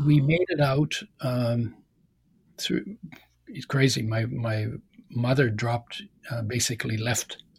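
A man speaks at a medium pitch with a somewhat breathy quality. His intonation stays fairly even. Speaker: author and health oil entrepreneur. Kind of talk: interview.

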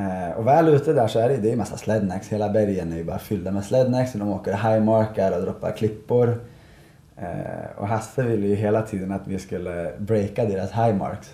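At a moderate pace, a man speaks in a fairly low, somewhat breathy voice with a dark, mellow tone and ordinary pitch variation. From Sweden, Malung (Dalarna). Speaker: professional snowboarder and event organizer. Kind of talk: casual interview. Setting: café at a ski resort.

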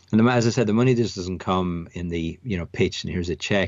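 A man speaks at a very fast pace in an Irish accent. His voice is very deep and low. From Ireland, near Dublin. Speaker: tech company CEO. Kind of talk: interview. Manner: hesitant, many fillers and repetitions.

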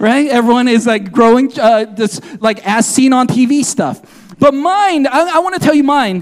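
A loud man talks at a moderate pace with an animated tone and lively intonation over noticeable background noise. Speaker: pastor. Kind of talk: sermon. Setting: church.

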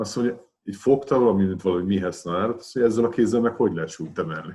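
The man speaks very quickly against a quiet background. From Hungary, Pécs. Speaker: retired weightlifting champion and coach. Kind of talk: casual interview.

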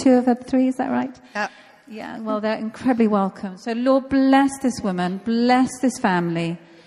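Over noticeable background noise, a woman talks at a moderate pace. Her pitch variation is ordinary. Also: fairly high pitch for a woman. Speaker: church pastor. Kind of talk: prayer and welcome introduction. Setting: church.

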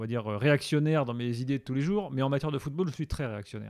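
Heard on a very clean recording with a silent background, the speaker has an ordinary speaking voice with ordinary pitch variation. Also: man. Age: 40s. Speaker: football radio show host. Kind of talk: casual interview.

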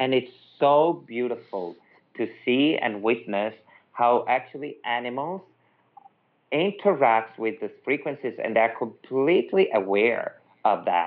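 A man speaks at a fairly slow pace with an Italian accent, his medium pitch carried by lively intonation. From Italy, Milan. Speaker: energy healing practitioner. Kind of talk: interview conversation.

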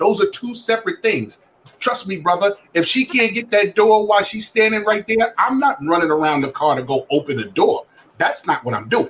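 Very wide pitch swings at a moderate pace over noticeable background noise. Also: man, high pitch for a man. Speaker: guest panelist. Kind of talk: heated debate. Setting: video call. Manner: animated.

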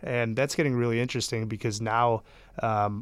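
A man with an American accent speaks in an unremarkable speaking voice at medium pitch and a fairly quick pace, on a very clean recording with a silent background. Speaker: startup founder and CEO. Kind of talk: casual interview.

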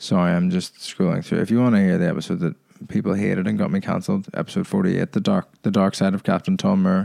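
With very even loudness and a dark, mellow tone, a man at medium pitch swings his pitch very widely in a dry, close sound with no echo. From Ireland. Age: 20s. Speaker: podcast host and stand-up comedian. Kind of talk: solo podcast monologue. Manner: casual, hesitant with many fillers.

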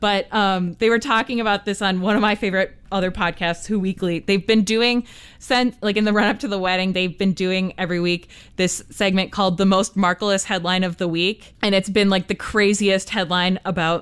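Using an American accent, a woman speaks at a medium pitch and fairly quick pace with fairly even intonation. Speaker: podcast co-host. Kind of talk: casual chat. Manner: loud.

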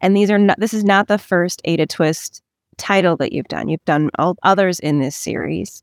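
In a very clean recording with a silent background and a dry, close sound with no echo, a woman uses a normal speaking voice at a medium pitch with ordinary pitch variation. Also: moderate pace. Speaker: interviewer. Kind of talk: interview.

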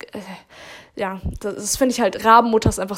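A woman at a fairly quick pace, with fairly even intonation and an ordinary speaking voice. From Baden-Württemberg, Germany. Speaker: podcast co-host. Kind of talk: casual chat.

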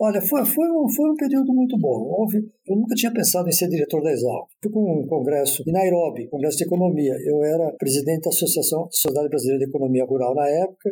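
A man's high voice at a very fast pace, with very wide pitch swings, very even loudness and hardly any pauses. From Brazil, Campinas (São Paulo state). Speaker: retired agronomist and former agricultural college director. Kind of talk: interview, reminiscing about his life. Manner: halting, with frequent word repetitions.

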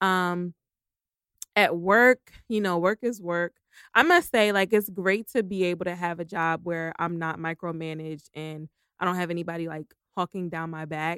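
An ordinary speaking voice with fairly even intonation and a dry, close sound with no echo. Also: woman, fairly low pitch for a woman, moderate pace. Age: 30s. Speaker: podcast co-host. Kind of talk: casual chat.

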